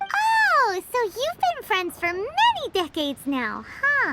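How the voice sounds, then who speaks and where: Speaking at a fairly slow pace, the put-on character voice is squeaky and extremely high in pitch. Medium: video game.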